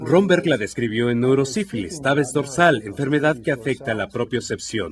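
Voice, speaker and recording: Over background music, a man at a medium pitch talks at a moderate pace with very wide pitch swings. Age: 60s. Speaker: physician demonstrating a neurological exam. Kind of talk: clinical teaching demonstration.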